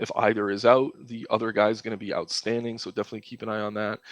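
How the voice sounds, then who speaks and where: The speaker is a man at medium pitch. He talks at a very fast pace. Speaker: sports betting and fantasy analyst. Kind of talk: solo analysis monologue. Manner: casual with many filler ums.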